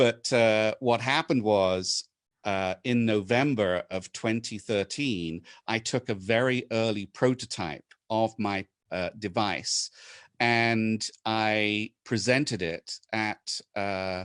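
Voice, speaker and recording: In a British accent, a man speaks at a very slow pace with ordinary pitch variation, the sound dry and close with no echo against a quiet background. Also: fairly low pitch for a man. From England. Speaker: inventor and presenter. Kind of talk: webinar presentation. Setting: video call. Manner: hesitant, many fillers.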